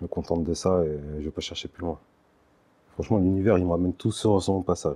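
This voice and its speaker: Soft-spoken, a man talks at a fairly quick pace in a very deep, low pitch. His tone is dark and mellow, with fairly even intonation. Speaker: interview guest, author of a memoir. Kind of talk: interview. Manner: hesitant, many fillers.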